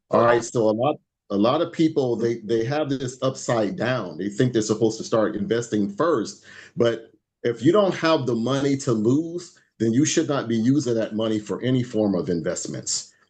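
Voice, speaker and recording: Lively intonation at a medium pitch from a man. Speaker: financial educator. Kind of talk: webinar presentation. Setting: group call. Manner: fast.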